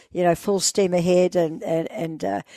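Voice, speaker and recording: A woman's fairly low, monotone voice with a New Zealand accent, dark and mellow in tone, at a moderate pace, dry and close with no echo over a quiet background. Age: 80s+. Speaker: explorer. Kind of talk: interview.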